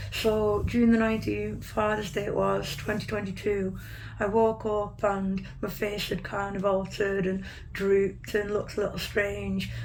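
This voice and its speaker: A woman talks at a moderate pace, with noticeable background noise and audible room echo around her. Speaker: patient sharing illness story. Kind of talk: interview testimony. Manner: hesitant, many fillers.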